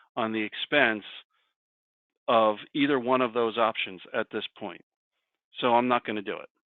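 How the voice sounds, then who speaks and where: A man is talking. His voice sits at a medium pitch. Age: 60s. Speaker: career coach presenter. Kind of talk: presentation with discussion.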